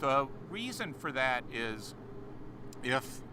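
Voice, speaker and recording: There is audible room echo as a man talks in a medium pitch with a bright, sharp tone. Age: 60s. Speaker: astronomy educator. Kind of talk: live stream commentary. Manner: halting, many fillers.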